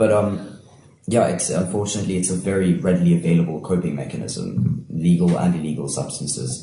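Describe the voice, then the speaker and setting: Very fast male speech, very deep and low, with vocal fry and ordinary pitch variation. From Cape Town, South Africa. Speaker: playwright and actor. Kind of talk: casual chat.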